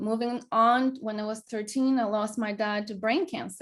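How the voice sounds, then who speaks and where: A woman speaks with a Greek accent. Her voice is fairly high and somewhat breathy. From Greece. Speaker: wellness coach. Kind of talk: casual chat. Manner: halting.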